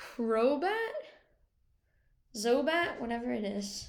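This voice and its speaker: Very wide pitch swings mark this woman's speech, with audible room echo. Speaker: gaming video creator. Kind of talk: casual tier-list commentary. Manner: quiet, slow.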